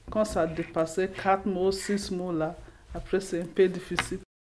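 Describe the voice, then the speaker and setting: A woman's voice at a medium pitch. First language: English (speaking French). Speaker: vocational trainee. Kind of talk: testimony. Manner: halting.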